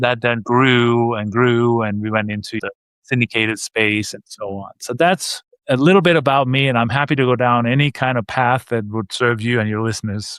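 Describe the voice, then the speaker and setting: Here a man speaks with a slight Danish accent at a moderate pace. His pitch is medium, with ordinary pitch variation. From Denmark. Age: 50s. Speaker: real estate investor. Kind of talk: podcast interview.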